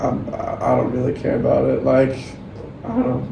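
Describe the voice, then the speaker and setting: Room echo is audible and background noise is noticeable. A man talks at a fairly quick pace. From Denmark. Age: 20s. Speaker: volleyball player. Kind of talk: podcast interview.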